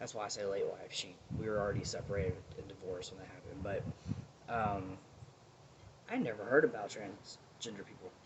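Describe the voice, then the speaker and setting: Mumbling at a moderate pace in an American accent, over noticeable background noise. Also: man. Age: 30s. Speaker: vlogger. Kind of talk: personal vlog, advice and life story. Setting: outdoors. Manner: loud.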